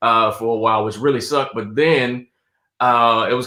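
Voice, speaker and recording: In a Southern US accent, a man talks with a monotone, flat intonation. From South Carolina. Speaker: stand-up comedian and actor. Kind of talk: casual interview chat.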